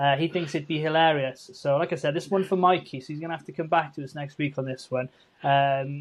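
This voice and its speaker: The speaker talks at a fairly quick pace with fairly even intonation. The loudness swings a lot. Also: man, fairly high pitch for a man. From Wales. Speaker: podcast co-host. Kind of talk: casual chat.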